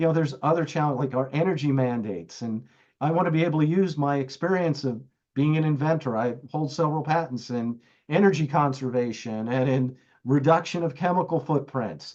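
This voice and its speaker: Delivered at a fairly quick pace with an American accent, the speech shows ordinary pitch variation. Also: man, fairly high pitch for a man. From Florida (Tampa). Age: 60s. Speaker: political candidate. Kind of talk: interview. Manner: halting, filler-heavy.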